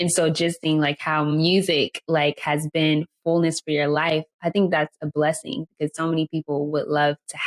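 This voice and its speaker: At a moderate pace, the voice comes across dry and close, without any echo. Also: woman. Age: 20s. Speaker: podcast host. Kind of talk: interview.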